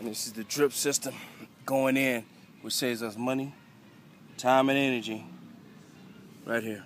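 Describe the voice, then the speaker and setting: A man talks at a moderate pace in a monotone, flat intonation. The sound is dry with no echo, and there is light background noise. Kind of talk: casual show-and-tell narration. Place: garden. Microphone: phone near.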